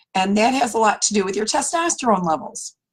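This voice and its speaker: A woman speaks at a moderate pace in a fairly high pitch. Her voice is somewhat breathy. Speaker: naturopathic doctor. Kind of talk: health talk video. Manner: casual, conversational.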